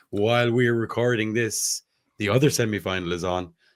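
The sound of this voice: A man speaks at a moderate pace in a husky, fairly low voice with ordinary pitch variation.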